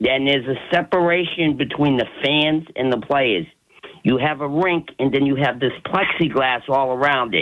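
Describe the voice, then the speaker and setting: A man speaks in an unremarkable speaking voice, fairly high-pitched, with ordinary pitch variation. His loudness stays very even and his pace is moderate. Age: 60s. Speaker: caller. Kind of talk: radio call-in.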